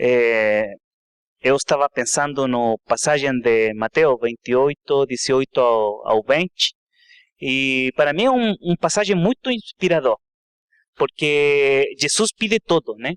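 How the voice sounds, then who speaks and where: Very slow, lively speech in a Spanish accent, with a dry, close sound, no echo and a quiet background. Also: man, fairly high pitch for a man. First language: Spanish (speaking Portuguese). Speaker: seminary student. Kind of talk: testimony. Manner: halting.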